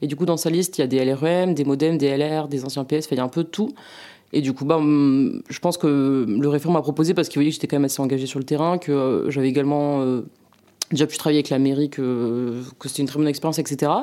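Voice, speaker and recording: A woman speaks at a very fast pace in a very deep, low pitch with a dark, mellow tone and fairly even intonation. The recording is very clean, with a silent background. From southwest France, Landes. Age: 20s. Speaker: political activist and student. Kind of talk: interview. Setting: at home. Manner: hesitant, many fillers.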